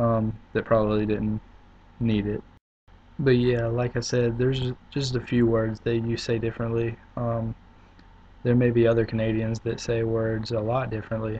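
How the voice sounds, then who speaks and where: A man with a South Carolina accent and a medium pitch speaks at a moderate pace in a somewhat breathy voice with monotone, flat intonation. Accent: Southern US (South Carolina). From US South, upstate South Carolina. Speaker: video blogger. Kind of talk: casual video response. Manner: hesitant, many fillers.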